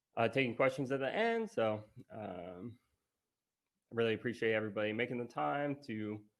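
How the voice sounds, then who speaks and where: Here a man with an American accent and an unremarkable speaking voice talks fairly quickly at medium pitch with ordinary pitch variation. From US South, Virginia (Richmond). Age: 30s. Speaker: conference speaker, writer and physical therapist. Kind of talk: conference talk.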